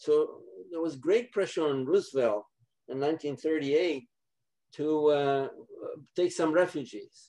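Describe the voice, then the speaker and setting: Over a quiet background, a man with a fairly high pitch and a dark, mellow tone speaks very slowly with ordinary pitch variation and long, frequent pauses. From Poland. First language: Polish. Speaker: Holocaust survivor. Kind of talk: testimony. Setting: video call. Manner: halting. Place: home room. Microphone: webcam.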